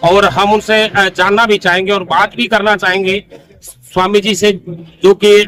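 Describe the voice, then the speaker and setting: The voice is raised and projected, with monotone, flat intonation. Noticeable background noise runs underneath. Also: man. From Rajasthan. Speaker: news reporter. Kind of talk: news interview. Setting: outdoors at a farm fair. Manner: halting with fillers.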